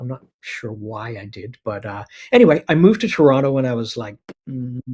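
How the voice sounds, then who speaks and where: Loudness swings widely as a man with an American accent talks at a fairly quick pace. His voice is somewhat breathy. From Canada (Winnipeg, then British Columbia). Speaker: animation producer. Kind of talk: casual interview chat. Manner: halting, many fillers.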